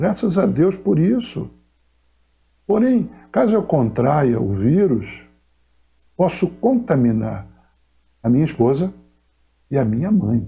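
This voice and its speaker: In a room with audible echo, a man's dark, mellow tone sits at a fairly high pitch with vocal fry, very wide pitch swings and a fairly slow pace. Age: 60s. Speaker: pastor. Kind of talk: pastoral message to congregation. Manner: formal.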